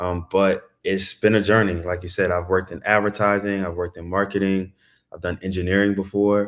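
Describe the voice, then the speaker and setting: In a very deep, low pitch, a man with an American accent speaks monotone and flat at a fairly quick pace. The recording is very clean, with a silent background. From Baltimore, Maryland, US. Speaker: tech sales account executive. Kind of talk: interview. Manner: casual, conversational.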